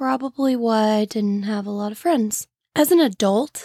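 A woman with a Midwestern American accent speaks at a fairly high pitch, with lively intonation and a moderate pace. The recording is very clean, with a silent background and a dry, close sound with no echo. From St. Louis area, Illinois side. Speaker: true crime podcast host. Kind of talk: casual solo podcast narration. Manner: casual, chatty.

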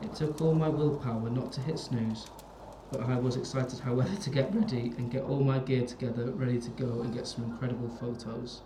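Noticeable background noise is heard as a man speaks at a fairly quick pace. His pitch is medium, with ordinary variation. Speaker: podcast host. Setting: recording while drinking. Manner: hushed, dramatic reading, building suspense; tipsy, jokey.

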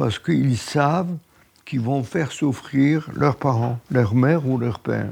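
Speaking at a very slow pace, a man uses a medium pitch with ordinary variation and a dark, mellow tone. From Poland, Lodz. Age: 90s. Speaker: Holocaust survivor. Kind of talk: testimony.

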